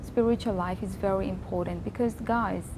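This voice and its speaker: A woman's voice at a moderate pace with audible room echo. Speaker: vlogger. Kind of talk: personal reflection monologue. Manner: loud; trying to keep voice down.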